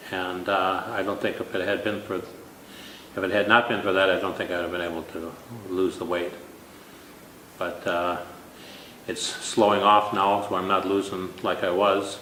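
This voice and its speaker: A man speaks in a very deep, low voice with monotone, flat intonation. Audible room echo and noticeable background noise are present. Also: moderate pace. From Minnesota. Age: 60s. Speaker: weight loss contest winner. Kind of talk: interview.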